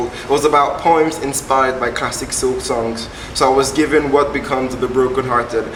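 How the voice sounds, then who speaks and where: A man talks at a fairly quick pace. Noticeable background noise runs beneath him. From Nigeria. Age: 20s. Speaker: poet. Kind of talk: interview answer. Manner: casual, hesitant.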